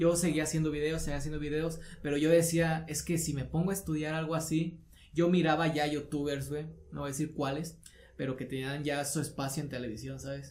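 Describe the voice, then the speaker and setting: There is audible room echo as a man speaks in a somewhat breathy voice with monotone, flat intonation. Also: fairly high pitch for a man, fairly quick pace. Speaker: podcast co-host, video creator. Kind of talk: casual chat.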